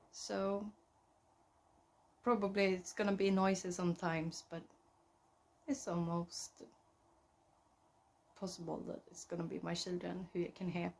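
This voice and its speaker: A woman at a moderate pace with a Swedish accent, fairly low in pitch, fairly even in intonation, with long, frequent pauses. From central Sweden. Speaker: knitting podcaster. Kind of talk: casual chat. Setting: at home. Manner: halting.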